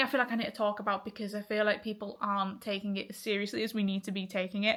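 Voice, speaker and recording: With an English accent and a bright, sharp tone, the speech races at a very fast pace, fairly even in intonation and with hardly any pauses. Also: woman. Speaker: vlogger. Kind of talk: casual vlog monologue.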